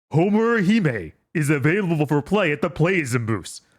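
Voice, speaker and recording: Putting on a character voice, a man with a fairly high pitch speaks at a moderate pace in a very clean recording with a silent background. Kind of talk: announcer style. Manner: self-serious, dramatic.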